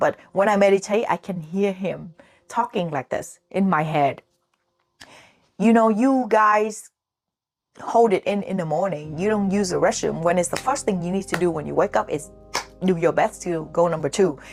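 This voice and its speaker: At a moderate pace with long, frequent pauses, a woman with a Vietnamese accent speaks in an animated tone at a medium pitch with ordinary pitch variation. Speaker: chef and vlogger. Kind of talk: casual vlog monologue.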